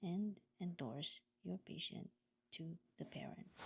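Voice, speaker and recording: A woman speaks at a medium pitch with vocal fry. Her intonation stays fairly even. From Philippines. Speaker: home care nurse and vlogger. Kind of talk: vlog narration. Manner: slow.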